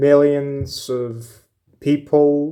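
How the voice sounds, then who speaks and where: A man speaks at a very slow pace with a Ukrainian accent. His medium-pitched voice is dark and mellow, with flat, monotone intonation. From Ukraine. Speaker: YouTube commentator. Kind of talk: opinion monologue. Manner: hesitant, many fillers.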